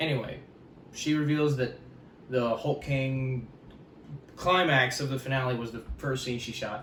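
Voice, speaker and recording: A man of medium pitch at a moderate pace, with noticeable background noise and audible room echo. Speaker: YouTuber, pop culture commentator. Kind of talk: casual commentary video.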